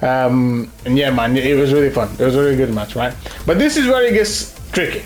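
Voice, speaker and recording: A man with very wide pitch swings at a fairly quick pace, with audible room echo and music in the background. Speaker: gaming content creator. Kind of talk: gameplay commentary. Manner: fast; casual, halting with repetitions.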